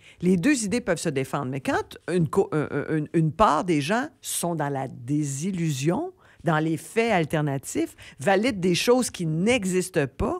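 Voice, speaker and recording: A woman's fairly low-pitched voice, fairly slow, with lively intonation. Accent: Quebec. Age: 60s. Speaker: comedian and TV host. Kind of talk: radio interview. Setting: radio studio.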